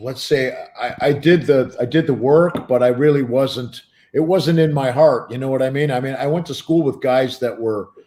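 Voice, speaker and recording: A man with a Western New York accent and a dark, mellow tone speaks at a medium pitch and a moderate pace with ordinary pitch variation. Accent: Western New York American. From US Northeast, Buffalo, New York. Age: 60s. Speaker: drummer. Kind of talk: interview. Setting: livestream.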